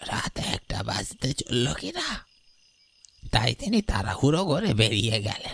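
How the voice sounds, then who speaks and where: A raspy, cartoonish character voice from a man, medium in pitch and fairly slow in pace. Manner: deferential, calls the listener babu.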